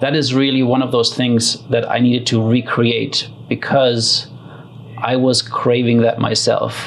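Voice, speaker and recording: With a slight German accent, a man of medium pitch talks at a fairly slow pace in a monotone, flat way with very even loudness over noticeable background noise. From Germany. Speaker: community builder and facilitator. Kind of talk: interview. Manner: hesitant, many fillers.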